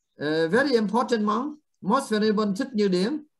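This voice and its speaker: Here a man talks at a high pitch with ordinary pitch variation. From Vietnam. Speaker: Buddhist monk teacher. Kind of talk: dharma talk. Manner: halting.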